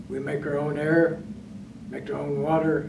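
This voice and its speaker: A man speaks at a moderate pace in a fairly high voice. Noticeable background noise runs underneath. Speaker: retired navy submariner, master chief. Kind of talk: oral history interview. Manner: halting. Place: meeting room.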